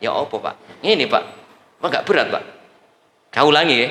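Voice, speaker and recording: A man is speaking. He has a Javanese accent. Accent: Javanese-accented Indonesian. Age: 60s. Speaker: preacher. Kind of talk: sermon. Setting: mosque with congregation. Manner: animated.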